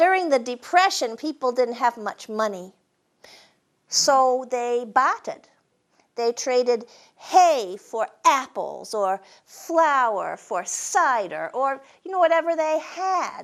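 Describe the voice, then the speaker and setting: Very slow in pace, a woman with a New England accent speaks high in pitch with very wide swings. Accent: New England Yankee, drops R's. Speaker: storyteller and humorist. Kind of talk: storytelling performance. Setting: stage with live audience.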